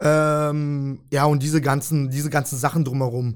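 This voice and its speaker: The voice runs in monotone, flat intonation on a very clean recording with a silent background. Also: man. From Germany (Freiburg, Breisgau), born in Kyrgyzstan. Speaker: volleyball team manager. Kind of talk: casual interview. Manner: hesitant, many fillers.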